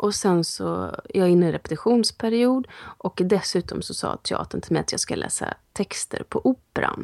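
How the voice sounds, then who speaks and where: Heard in a dry, close sound with no echo, a woman speaks at a moderate pace. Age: 40s. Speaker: actress and podcast co-host. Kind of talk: casual chat.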